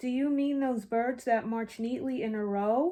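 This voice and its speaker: In a very clean recording with a silent background, a woman uses a high put-on character voice at a moderate pace. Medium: read story.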